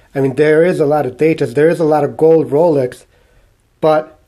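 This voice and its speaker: A man's fairly high voice with a Mexican accent, dark and mellow in tone, in a flat monotone. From Mexico. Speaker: watch collector YouTuber. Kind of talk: casual video monologue. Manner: halting, repeats words.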